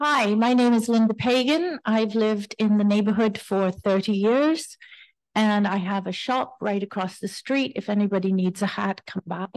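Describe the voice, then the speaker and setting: Against a quiet background, a woman with a normal speaking voice talks at a moderate pace in a fairly high pitch with ordinary pitch variation. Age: 60s. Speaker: shop owner. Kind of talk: public comment at community board hearing. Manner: casual.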